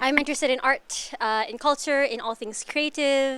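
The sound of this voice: A woman's high-pitched voice with a fairly bright tone. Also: ordinary pitch variation, moderate pace.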